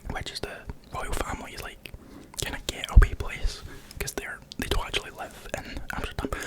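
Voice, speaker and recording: Noticeable background noise is present. Over it, a man whispers. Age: 20s. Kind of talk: casual vlog narration.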